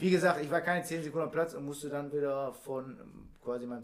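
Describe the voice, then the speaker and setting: At a fairly quick pace, the speaker uses an ordinary speaking voice. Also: man. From Oberhausen, Ruhr area, Germany. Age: 30s. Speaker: amateur footballer. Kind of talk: casual chat.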